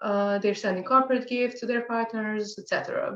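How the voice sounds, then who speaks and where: This woman talks at a very fast pace. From Serbia. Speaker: social enterprise founder. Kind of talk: pitch presentation.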